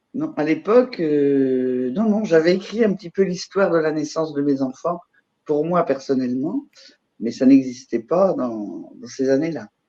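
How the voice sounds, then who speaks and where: A woman with a very deep, low pitch and a dark, mellow tone speaks at a fairly slow pace, her pitch swinging very widely and her loudness rising and falling sharply. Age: 70s. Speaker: mother sharing birth story. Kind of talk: podcast interview.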